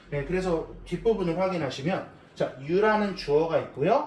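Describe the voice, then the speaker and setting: A man talks with lively intonation, with noticeable background noise and audible room echo around him. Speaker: English teacher. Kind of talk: lecture.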